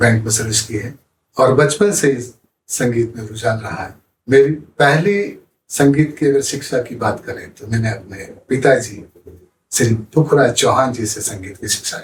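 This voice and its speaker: A man with a medium pitch and a somewhat breathy voice speaks with ordinary pitch variation and big swings in loudness. He leaves long, frequent pauses. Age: 60s. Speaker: musician, retired bank employee. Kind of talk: interview. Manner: formal.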